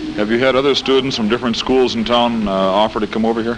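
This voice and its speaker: Over noticeable background noise, a man speaks in a flat monotone. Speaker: school principal. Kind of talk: on-scene interview answers. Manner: hesitant, fillers, earnest.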